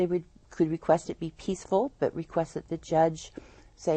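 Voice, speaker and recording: A woman with an American accent speaks in a plain, everyday voice. Her pitch is fairly low, her pace moderate and her intonation fairly even. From Northern California (Eureka). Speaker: nonprofit founder, domestic violence advocate. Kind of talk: interview on a local TV program.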